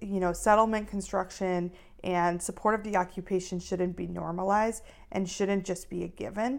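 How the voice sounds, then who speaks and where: A woman's plain, everyday voice, medium in pitch, at a moderate pace with fairly even intonation and an American accent. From US Midwest, Minneapolis, Minnesota. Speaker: rabbinical student and activist. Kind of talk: interview.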